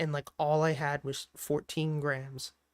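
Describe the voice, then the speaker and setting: A man's fairly high voice, dry and close with no echo. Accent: Philadelphia. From Philadelphia area, Pennsylvania (Delaware County). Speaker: stock trader and livestreamer. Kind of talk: casual livestream chat answering viewers. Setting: livestream with lo-fi music playing. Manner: casual, filler-heavy.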